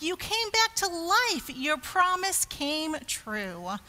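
At a slow pace, a put-on character voice with a bright, sharp tone makes big pitch swings. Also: woman, extremely high pitch for a woman.

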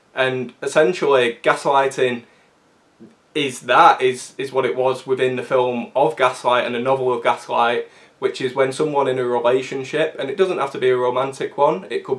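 Speaking with fairly even intonation, a man keeps a moderate pace. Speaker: film commentator. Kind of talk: film analysis commentary. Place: home room. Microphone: camera far.

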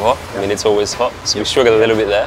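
A man speaks with a fairly low pitch and fairly even intonation. Clear music plays in the background. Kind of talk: interview answer. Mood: relaxed, friendly. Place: cafe. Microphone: lapel.

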